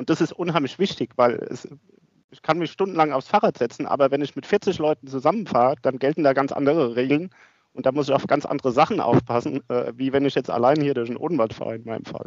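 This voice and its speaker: A man speaks very fast in a fairly high voice, with ordinary pitch variation and big swings in loudness. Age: 50s. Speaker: asset management executive and amateur cyclist. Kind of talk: interview. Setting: office.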